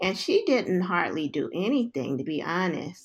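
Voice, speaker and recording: A woman with an American accent speaks in an ordinary speaking voice. Her pitch is medium and her pace moderate. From US West Coast, South Central Los Angeles. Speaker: social worker and psychotherapy researcher. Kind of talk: interview.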